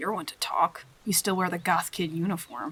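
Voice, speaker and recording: A woman's raspy put-on character voice, fairly low in pitch, with ordinary pitch variation and a moderate pace. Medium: audio drama. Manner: nervous, stammering.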